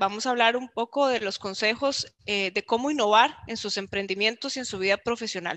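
A woman with a fairly high pitch and a bright, sharp tone speaks at a moderate pace with ordinary pitch variation. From Costa Rica, San Carlos (northern zone); Costa Rica. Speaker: marketing executive and speaker; webinar presenter. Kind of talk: virtual talk / presentation. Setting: online video event. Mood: warm, friendly. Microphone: video call.

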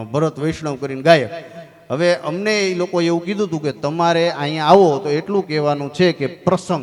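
Amid noticeable background noise, a man speaks at a fairly high pitch with ordinary pitch variation. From Gujarat, India. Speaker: comedian. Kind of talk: stand-up. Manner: animated.

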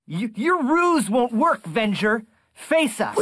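A fairly high-pitched voice moves at a very slow pace in a very clean recording with a silent background. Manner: earnest, heroic.

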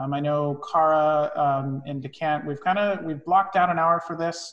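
Over a quiet background, the speech moves at a moderate pace with fairly even intonation. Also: man. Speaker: wine tasting instructor. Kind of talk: online class introduction. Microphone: video call.

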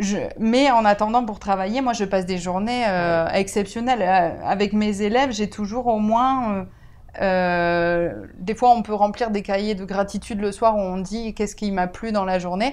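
A woman at a fairly slow pace, medium pitch and fairly even intonation, in a normal speaking voice. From France, Bordeaux; France. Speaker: teacher of deaf pupils. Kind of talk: interview. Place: home room. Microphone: lapel.

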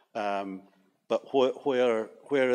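The pace is moderate as a man talks. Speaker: audience member. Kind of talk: audience question. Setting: stage with audience. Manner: halting. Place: hall.

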